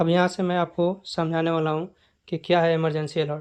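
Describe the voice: A man with a clear, smooth tone and fairly high pitch talks at a fairly quick pace with little pitch movement.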